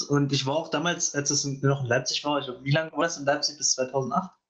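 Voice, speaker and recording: This man's voice sits at a fairly high pitch. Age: young. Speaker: gaming podcaster, student. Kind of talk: casual chat. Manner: hesitant, many fillers.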